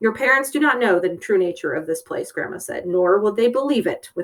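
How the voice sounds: Lively intonation in a natural reading voice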